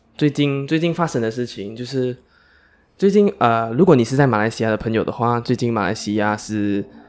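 Using a normal speaking voice, a man talks at a fairly quick pace and medium pitch with lively intonation. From Malaysia. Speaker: podcast co-host. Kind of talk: casual chat.

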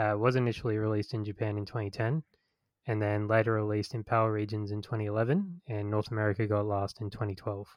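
Using an ordinary speaking voice, a man speaks at a fairly quick pace with a fairly low pitch and fairly even intonation. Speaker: podcast host. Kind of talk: casual chat, podcast interview.

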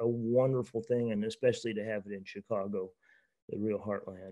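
Dark, mellow tone in a man's voice of medium pitch. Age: 70s. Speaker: buffalo rancher. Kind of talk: casual chat. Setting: video call.

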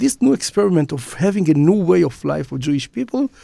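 A man with an Israeli accent speaks at a moderate pace in a high, dark, mellow voice with very wide pitch swings, in a dry, close recording with no echo. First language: Hebrew. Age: 50s. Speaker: businessman and magazine founder. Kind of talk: interview conversation. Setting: studio. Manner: halting.

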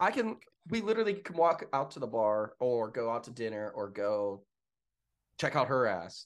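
Speaking at a moderate pace with an American accent, a man with a medium-pitched voice makes very wide pitch swings. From Pittsburgh, western Pennsylvania. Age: 30s. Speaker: fire system inspector and esports event worker. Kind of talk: casual chat. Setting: video call from his apartment.

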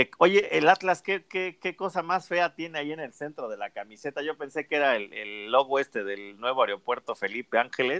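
On a very clean recording with a silent background and a dry, close sound with no echo, a man with a fairly high pitch talks at a moderate pace with hardly any pauses, lively intonation and big swings in loudness. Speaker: football podcast host. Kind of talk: casual chat.

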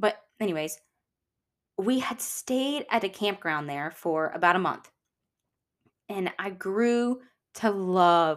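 A medium-pitched woman with a Southern US accent speaks at a fairly slow pace with long, frequent pauses. Her tone is animated and her intonation lively, in a very clean recording with a silent background. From Louisiana. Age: 20s. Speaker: podcast host. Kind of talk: personal storytelling monologue. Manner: chatty, animated.

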